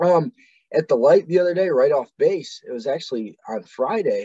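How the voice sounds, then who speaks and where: A man speaks with a Midwestern US accent. The sound is dry and close, with no echo. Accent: US Midwest. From Ohio, Medina. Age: 20s. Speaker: Marine veteran. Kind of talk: casual chat.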